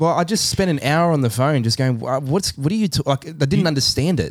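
Here a man speaks at a very fast pace in a fairly high pitch. His intonation is lively. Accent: Australian. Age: 30s. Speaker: podcast co-host. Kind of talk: casual chat.

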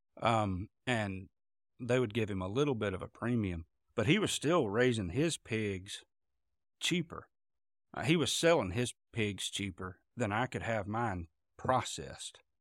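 A man at a medium pitch with a Southern US accent, lively intonation, a fairly slow pace and long, frequent pauses, in a dry, close sound with no echo and a very clean, silent background. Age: 40s. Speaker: pastor and farmer. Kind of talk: casual interview.

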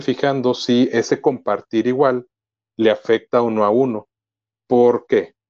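At a fairly slow pace, a man speaks in an ordinary speaking voice at a medium pitch. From Mexico. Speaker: podcaster and computer engineer. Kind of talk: casual tutorial interview.

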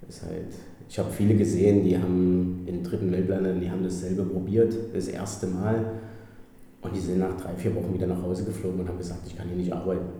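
The speech comes at a very fast pace in a monotone, flat intonation, with audible room echo. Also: man, very deep, low pitch for a man. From Germany, Gera (Thuringia). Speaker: hotel manager. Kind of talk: interview. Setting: hotel manager's office.

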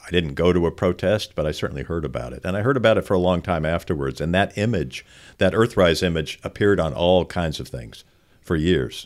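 A man's very deep, low voice with vocal fry at a fairly quick pace. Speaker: OB-GYN physician and podcast co-host. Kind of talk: casual conversational podcast.

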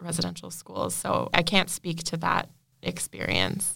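Here is a woman with a Canadian accent and a fairly low pitch. She speaks at a moderate pace in an ordinary speaking voice. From Ontario, Canada (Bay of Quinte area). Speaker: podcast producer. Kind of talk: interview.

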